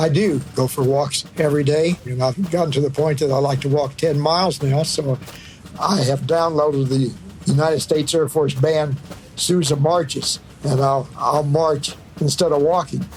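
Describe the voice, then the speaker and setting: This man talks at a moderate pace with fairly high pitch and fairly even intonation. His loudness stays very even, though background noise is noticeable. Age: 80s+. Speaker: retiree. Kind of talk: personal anecdote.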